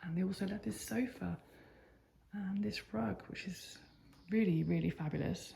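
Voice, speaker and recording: A whispering woman in an English accent, moderate pace, with long, frequent pauses. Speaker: lifestyle vlogger. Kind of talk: house tour vlog. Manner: casual, chatty.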